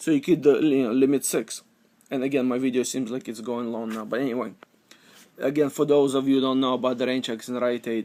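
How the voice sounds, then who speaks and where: Dark and mellow in tone, a man speaks at a very fast pace in a monotone, flat intonation. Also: medium pitch for a man. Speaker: couponing vlogger. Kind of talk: casual tutorial. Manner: halting, many fillers.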